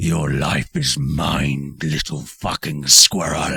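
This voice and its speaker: A man speaks in a put-on character voice, very deep and low, raspy, at a very slow pace. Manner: demonic, menacing.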